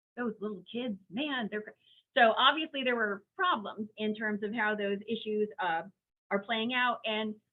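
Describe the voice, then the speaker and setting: A woman at a fairly high pitch, fairly slow in pace, with ordinary pitch variation. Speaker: special education law presenter. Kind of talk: webinar presentation. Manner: animated.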